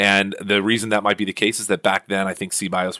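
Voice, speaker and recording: In a fairly low voice with a bright, sharp tone, a man rushes along at a very fast pace, the sound dry and close with no echo on a very clean recording with a silent background. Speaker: podcast host. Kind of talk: scripted-style tech podcast monologue, informative. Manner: fast talker; informal, conversational, explanatory.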